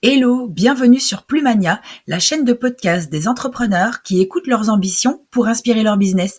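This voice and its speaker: An ordinary speaking voice comes from a woman at a fairly high pitch. She speaks at a moderate pace with lively intonation. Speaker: podcast host and professional coach. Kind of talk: podcast intro.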